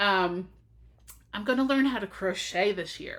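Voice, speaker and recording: Her tone is bright and sharp, with lively intonation and an American accent. The woman is recorded very cleanly against a silent background. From US Northeast, South Jersey. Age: 40s. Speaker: knitting podcaster. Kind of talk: casual vlog monologue. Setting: home office, recording on computer. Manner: hesitant, many fillers.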